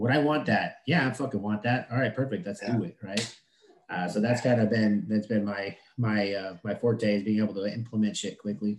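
A man talks at a fairly quick pace in a normal speaking voice. His fairly low pitch shows ordinary variation. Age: 30s. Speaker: HVAC business owner. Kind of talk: casual interview.

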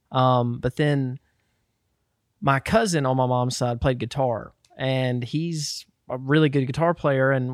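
A man with an American accent has an ordinary speaking voice at medium pitch, with fairly even intonation and a dry, close sound with no echo. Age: 20s. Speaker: musician. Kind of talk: casual chat.

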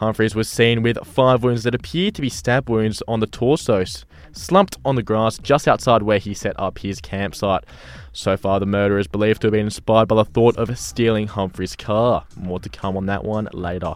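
A man with a fairly low pitch is heard while music plays behind him. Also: ordinary pitch variation, moderate pace. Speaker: news and traffic reader. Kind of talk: news and traffic report reading. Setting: radio studio. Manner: brisk, businesslike, matter-of-fact.

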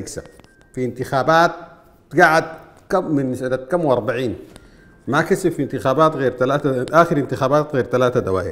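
With a Sudanese accent, a man talks at a moderate pace and medium pitch. His pitch varies in an ordinary way, over noticeable background noise. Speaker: political commentator. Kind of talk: political commentary monologue.

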